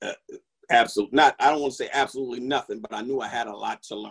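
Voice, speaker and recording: A man with a New York accent is heard in a dry, close sound with no echo. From New York, the Bronx. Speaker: corporate chef. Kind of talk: interview.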